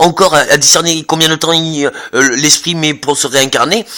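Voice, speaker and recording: Talking at a moderate pace, a man uses a high pitch. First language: not French (speaking French). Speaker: vlogger. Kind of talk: monologue. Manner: halting, many repetitions and fillers.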